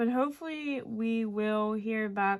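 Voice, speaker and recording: A quiet voice at a very slow pace on a very clean recording with a silent background. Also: woman. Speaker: resin crafter. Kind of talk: casual craft tutorial chat. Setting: at home late at night.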